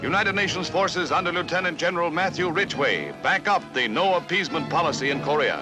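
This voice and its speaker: Music plays behind a man talking at a very fast pace. His pitch is high, with ordinary variation. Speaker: newsreel narrator. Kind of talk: newsreel narration.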